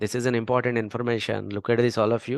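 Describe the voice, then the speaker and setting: A man with an Indian accent at medium pitch, his intonation fairly even, over a quiet background. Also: dry, close sound with no echo. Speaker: data science instructor. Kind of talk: tutorial.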